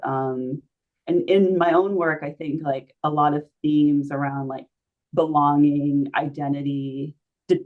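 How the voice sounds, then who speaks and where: A woman with an American accent speaks fairly slowly in a very deep, low pitch, with monotone, flat intonation. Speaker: artist and stuttering advocate. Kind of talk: conversational discussion. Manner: repetitions and filler words.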